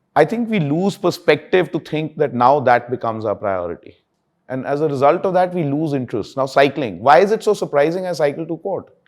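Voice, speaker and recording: Loud and fairly high in pitch, a man speaks at a fairly quick pace with very wide pitch swings. The recording is very clean, with a silent background. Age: 60s. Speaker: senior lawyer. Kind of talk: interview. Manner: animated.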